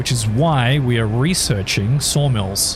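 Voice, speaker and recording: A man with an Australian accent speaks at a very slow pace with lively intonation, amid noticeable background noise and audible room echo. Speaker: gaming streamer. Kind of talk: live stream gameplay commentary. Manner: casual, chatty.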